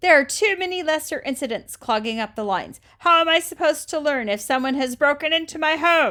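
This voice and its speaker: Putting on a character voice, a woman speaks at a fairly quick pace in a high pitch. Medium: read story. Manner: haughty, formal.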